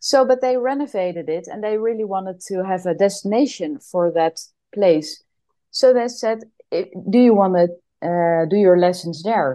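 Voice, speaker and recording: This woman's intonation is lively, her pitch medium. She keeps a moderate pace. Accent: Dutch. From Netherlands. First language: Dutch. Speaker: yoga teacher. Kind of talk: casual chat; guided movement instruction.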